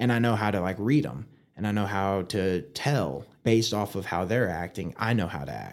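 Speaking with an American accent, a man with an ordinary speaking voice uses fairly low pitch and ordinary pitch variation at a moderate pace, in a very clean recording with a silent background. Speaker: firefighter and podcaster. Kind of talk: casual interview.

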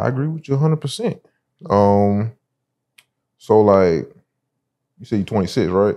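Against a quiet background, a man with a Southern US accent and a dark, mellow tone speaks with lively intonation, big swings in loudness and long, frequent pauses. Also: fairly low pitch for a man, moderate pace. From South Carolina, Sumter. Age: 20s. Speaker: podcast host. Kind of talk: casual interview.

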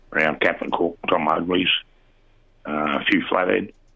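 This is a man with an Australian accent. He talks at a moderate pace. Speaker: fishing reporter. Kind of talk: casual chat.

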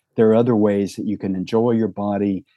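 A man speaks with an American accent. He has a normal speaking voice at a fairly low pitch. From US South, rural Tennessee. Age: 60s. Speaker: psychotherapist and sex therapist. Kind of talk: podcast interview.

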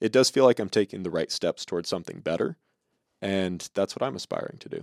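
Recorded very cleanly with a silent background, a man's voice sounds dry and close, with no echo. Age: 20s. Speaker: podcast co-host. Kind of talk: casual chat.

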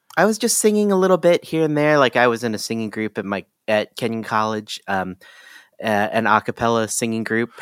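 Talking at a fairly quick pace, a man speaks with a Midwestern US accent. The recording is very clean, with a silent background and a dry, close sound with no echo. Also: medium pitch for a man, lively intonation. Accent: US Midwest. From Ohio. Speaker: music production educator. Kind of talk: casual interview.

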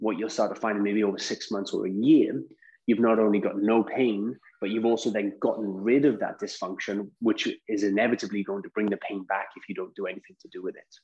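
A man with an unremarkable speaking voice talks at a fairly quick pace and a fairly low pitch. His intonation is fairly even, though his loudness swings widely. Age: 30s. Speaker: mobility specialist and Pilates teacher. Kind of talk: interview.

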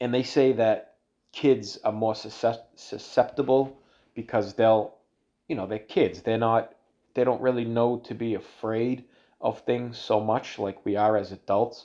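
Against a quiet background, a man with a Boston accent speaks fairly slowly at a medium pitch, his dark, mellow tone flat and monotone. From Boston area, Massachusetts (Everett). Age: 30s. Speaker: solo podcast host. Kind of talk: casual monologue. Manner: halting, many fillers and restarts.

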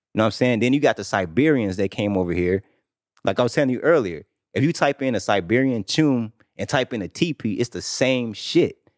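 A plain, everyday voice from a man at a medium pitch and fairly quick pace, very cleanly recorded against a silent background, dry and close with no echo. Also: lively intonation. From United States. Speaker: podcast guest, debater. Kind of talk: heated debate.

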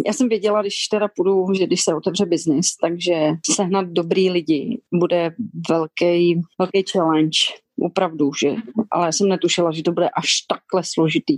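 In an ordinary speaking voice, a woman with a fairly low pitch talks at a moderate pace, with ordinary pitch variation, very even loudness, and a dry, close sound with no echo. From Czech Republic, Šumava region. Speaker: restaurant owner. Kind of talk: interview.

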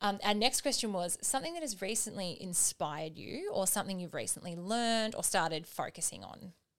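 At a fairly quick pace, a woman speaks in a medium pitch with lively intonation. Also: hardly any pauses. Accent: Australian. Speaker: podcast co-host. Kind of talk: casual chat.

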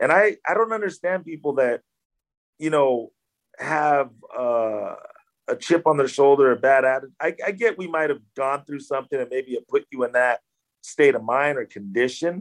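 Recorded with a dry, close sound and no echo, a man with a Californian accent talks at a moderate pace with a fairly high pitch and lively intonation. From Southern California, Orange County and LA. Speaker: actor. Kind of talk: interview. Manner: casual, many fillers.

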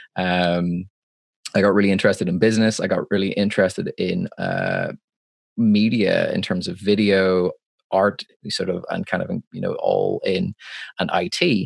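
A man speaks at a moderate pace with a Northern Irish accent. The sound is dry and close, with no echo. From Northern Ireland. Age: 20s. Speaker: live sound engineer. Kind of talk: casual interview. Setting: video call. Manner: halting.

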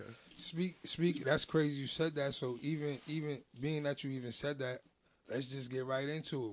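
He speaks with a plain, everyday voice, medium in pitch. The man's pace is moderate, his intonation fairly even. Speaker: podcast host. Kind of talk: casual interview. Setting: studio.

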